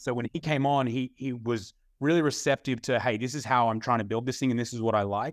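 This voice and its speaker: Speaking very fast in an American accent, a man with a medium pitch keeps his intonation fairly even against a quiet background. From Australia. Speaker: gym owner and entrepreneur. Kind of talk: casual interview chat.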